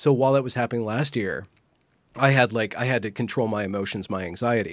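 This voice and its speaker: A man speaks fairly quickly at a medium pitch. It is an ordinary speaking voice. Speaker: interviewer and commentator. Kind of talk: casual conversation. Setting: online video interview.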